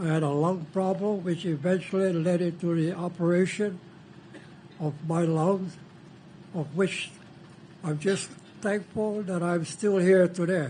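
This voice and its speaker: A man speaks in a high voice. He leaves long pauses, and often. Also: fairly even intonation, fairly slow pace. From Hawaii, Big Island (Keaukaha). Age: 80s+. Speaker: canoe carver and former entertainer. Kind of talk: panel discussion, personal story.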